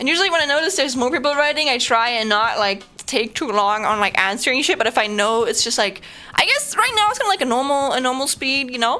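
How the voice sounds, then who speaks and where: Raising and projecting her high-pitched voice, a woman speaks at a very fast pace with very wide pitch swings over noticeable background noise. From Germany. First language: German. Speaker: streamer. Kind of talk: casual live stream chat. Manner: halting, many fillers and repetitions.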